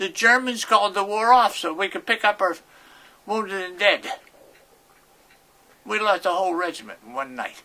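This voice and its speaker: Projecting loudly, a man with a Pittsburgh accent speaks at a high pitch. His intonation is lively, and his pace is moderate. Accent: western Pennsylvania (Pittsburgh). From Pittsburgh, East Liberty. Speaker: war veteran. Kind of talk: interview, personal war recollections. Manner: halting, with many repetitions and false starts.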